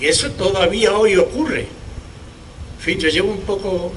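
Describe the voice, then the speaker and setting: Noticeable background noise mixes with audible room echo. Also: man. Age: 70s. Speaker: historical memory activist. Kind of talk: public speech at memorial event. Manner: halting, with repetitions.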